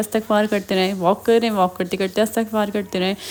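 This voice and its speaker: Noticeable background noise is present. Over it, a woman talks at a medium speed. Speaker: religious vlogger. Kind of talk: religious advice vlog. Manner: usually very soft-spoken.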